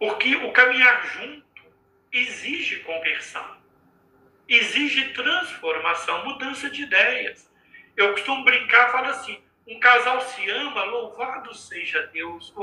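A man's extremely high-pitched voice at a fairly slow pace, with ordinary pitch variation and big swings in loudness. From Minas Gerais, Brazil. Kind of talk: religious talk in live stream. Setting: video live stream from home.

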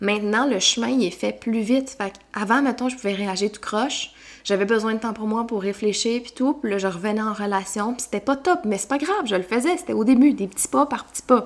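A woman in a Quebec accent speaks at a fairly quick pace with ordinary pitch variation and big swings in loudness. Noticeable background noise is present. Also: fairly high pitch for a woman. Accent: Québécois French. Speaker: personal development coach. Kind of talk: solo podcast monologue. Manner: animated.

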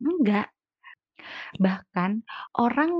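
A woman speaks in a somewhat breathy voice. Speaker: podcaster. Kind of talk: casual solo podcast monologue. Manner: chatty, laughs often.

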